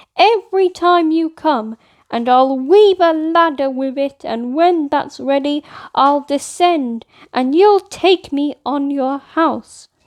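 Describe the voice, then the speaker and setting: Putting on a high-pitched character voice, a woman speaks at a fairly slow pace with ordinary pitch variation, in a dry, close sound with no echo against a quiet background. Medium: read story.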